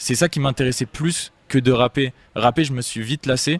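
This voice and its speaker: A man's plain, everyday voice at medium pitch, moderate pace and ordinary pitch variation, with a dry, close sound and no echo. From Marseille, southern France. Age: 20s. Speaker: singer and rapper. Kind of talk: interview. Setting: studio.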